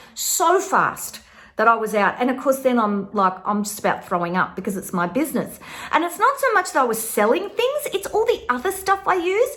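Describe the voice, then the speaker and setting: In an Australian accent, a woman uses a raised, projected voice with an animated tone, very wide pitch swings and a fairly quick pace. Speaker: tarot teacher and online course creator. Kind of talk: casual vlog monologue.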